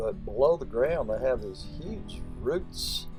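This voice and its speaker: Very slow speech with music in the background. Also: man. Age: old. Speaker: home gardener. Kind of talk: casual talk to camera. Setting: outdoors. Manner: rambling, conversational.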